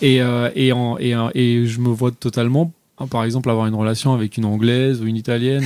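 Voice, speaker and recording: On a very clean recording with a silent background, a man speaks at a medium pitch. His pace is fairly quick and his intonation monotone and flat. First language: not French (speaking French). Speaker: podcast co-host. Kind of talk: casual chat. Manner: hesitant, many fillers.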